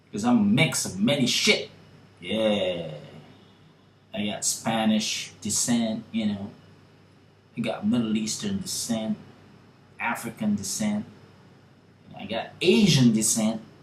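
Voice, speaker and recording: A man with medium pitch and ordinary pitch variation speaks very slowly with long, frequent pauses, amid audible room echo and noticeable background noise. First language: not English. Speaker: YouTuber. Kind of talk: opinion vlog monologue. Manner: casual, filler-heavy.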